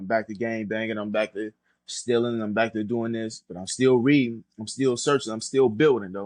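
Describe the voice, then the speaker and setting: An unremarkable speaking voice with an American accent moves at a fairly quick pace and fairly even intonation, in a dry, close sound with no echo over a quiet background. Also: man. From US Midwest, Toledo, Ohio. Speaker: former prisoner sharing life story. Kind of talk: testimony.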